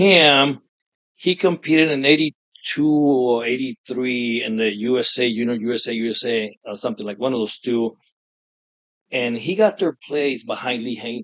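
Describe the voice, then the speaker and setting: A man with medium pitch and ordinary pitch variation talks in an ordinary speaking voice, keeping a moderate pace. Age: 60s. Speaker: veteran bodybuilder. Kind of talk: interview.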